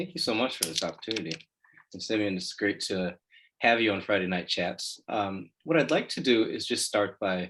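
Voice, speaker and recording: A man with an American accent and a plain, everyday voice, lively in intonation, at a moderate pace. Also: fairly low pitch for a man. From Illinois (Chicago). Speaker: co-host, lawyer. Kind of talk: interview.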